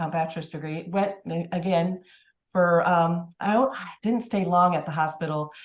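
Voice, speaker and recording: Somewhat breathy speech with an American accent, delivered at a moderate pace. The intonation stays fairly even. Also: woman, fairly low pitch for a woman. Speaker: public health nurse. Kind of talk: casual interview. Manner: halting.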